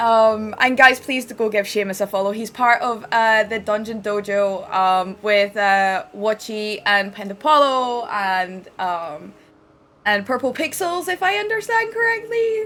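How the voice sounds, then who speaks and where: In a Scottish accent, a woman speaks fairly slowly at a fairly high pitch. Her tone is animated. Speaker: game streamer. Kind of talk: live stream chat.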